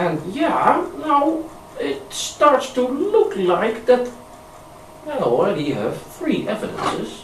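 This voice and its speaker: A Dutch accent at a very slow pace, with very wide pitch swings and noticeable background noise. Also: man, extremely high pitch for a man. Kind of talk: amateur video narration with screen demonstration. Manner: hesitant, casual.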